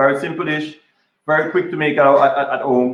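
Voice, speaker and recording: A man speaks with a Jamaican accent. His pitch varies in an ordinary way. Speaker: chef. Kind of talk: live cooking demo interview. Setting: kitchen, live video broadcast. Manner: hesitant, many fillers and repeats.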